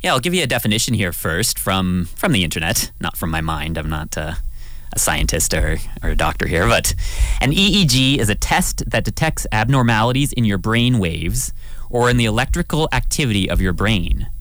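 Over noticeable background noise and audible room echo, a man with a Canadian accent speaks at a moderate pace in a fairly low pitch with very wide pitch swings. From southwestern Ontario, Canada. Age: 30s. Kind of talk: radio talk show, casual chat. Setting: radio studio.

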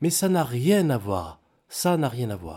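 A man's pitch swings very widely in a very clean recording with a silent background. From Cameroon and Togo. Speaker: former footballer, airline pilot. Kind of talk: testimony. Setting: studio.

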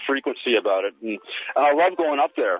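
A man with a Canadian accent at a very fast pace, over noticeable background noise. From Canada. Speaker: musician. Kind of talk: interview. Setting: phone call.

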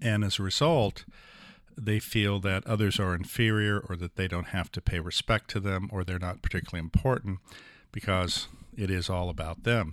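In a very clean recording with a silent background, a man with a normal speaking voice talks at a moderate pace, his fairly low pitch showing ordinary pitch variation. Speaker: neurosurgeon and author. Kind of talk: interview discussion.

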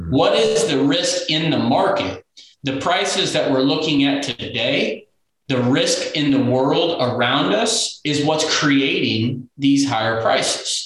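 A man with a Midwestern American accent and a fairly high pitch speaks fairly slowly at a very even loudness, with ordinary pitch variation. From Kansas, Sumner County near Wichita. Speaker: farm financial consultant. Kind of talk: casual interview.

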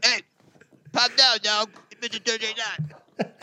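This put-on character voice is raspy and fairly high in pitch. It moves at a fairly slow pace.

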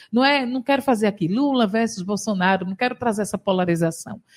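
A woman's lively intonation comes through in a somewhat breathy voice. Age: 40s. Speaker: state legislator. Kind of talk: radio interview. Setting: radio studio.

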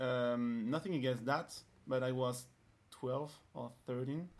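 Speaking with a French accent, a man talks at a fairly slow pace, with medium pitch and fairly even intonation. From France. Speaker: dancer. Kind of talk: casual chat. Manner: halting.

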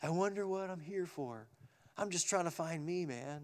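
A man puts on a character voice, pitched high for a man, at a moderate pace. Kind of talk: casual slang. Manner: laid-back, searching.

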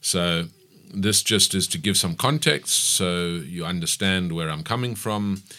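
A bright, sharp tone with lively intonation at a fairly slow pace, on a very clean recording with a silent background. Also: man, very deep, low pitch for a man. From South Africa, KwaZulu-Natal (Pietermaritzburg). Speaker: business owner. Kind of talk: radio interview. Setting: radio studio.

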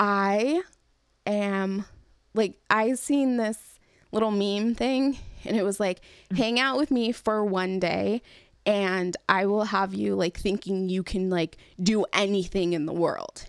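A woman of medium pitch with an American accent, very slow pace, long, frequent pauses and ordinary pitch variation, on a very clean recording with a silent background. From California. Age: 30s. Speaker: podcast host. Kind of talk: casual chat.

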